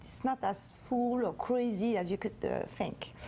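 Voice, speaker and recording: A woman's high voice at a fairly slow pace amid noticeable background noise. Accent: French. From France, Paris. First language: French. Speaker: wine producer, family business heir. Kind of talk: TV interview. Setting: TV studio. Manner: halting, many filler sounds.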